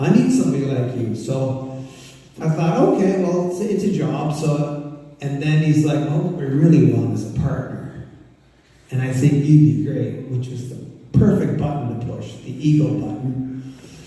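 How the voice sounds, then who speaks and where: Speaking at a moderate pace, a fairly high-pitched man sounds animated, with audible room echo and noticeable background noise. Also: ordinary pitch variation. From Ontario, Canada. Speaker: former farmer and public speaker. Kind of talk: presentation to an audience. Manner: animated storytelling.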